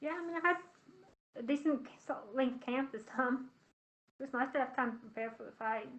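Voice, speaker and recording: A soft-spoken woman with a high voice talks at a fairly quick pace, using ordinary pitch variation, big swings in loudness, and long, frequent pauses. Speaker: professional MMA fighter. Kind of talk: interview answer at virtual media day. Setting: webcam call. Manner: soft-spoken, quiet.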